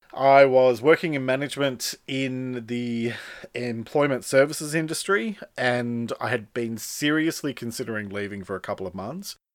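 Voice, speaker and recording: A man with an Australian accent talks at a moderate pace in a medium pitch, with ordinary pitch variation and big swings in loudness, on a very clean recording with a silent background. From Australia, western Sydney. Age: 40s. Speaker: podcast host, author and speaker. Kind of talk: solo podcast monologue. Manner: casual, conversational.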